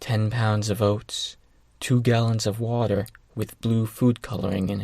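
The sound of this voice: The voice heard is an unforced reading voice.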